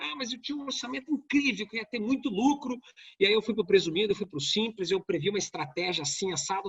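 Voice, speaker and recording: A man talks very fast at a high pitch. His intonation is lively. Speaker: tax lawyer and lecturer. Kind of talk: online lecture.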